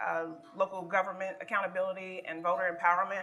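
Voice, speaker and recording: Noticeable background noise surrounds a woman whose pitch is medium. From Kentucky (Richmond). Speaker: community organizer. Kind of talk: panel discussion.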